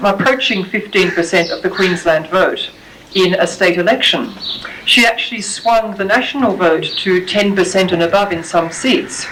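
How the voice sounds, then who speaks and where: A woman of medium pitch talks at a moderate pace with ordinary pitch variation, amid audible room echo and noticeable background noise. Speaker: academic lecturer. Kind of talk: lecture.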